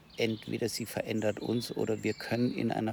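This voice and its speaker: A man's medium-pitched voice with vocal fry, at a fairly slow pace. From Heidelberg / Kurpfalz region. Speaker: coach and climate organisation chair. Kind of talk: casual conversation. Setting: outdoors.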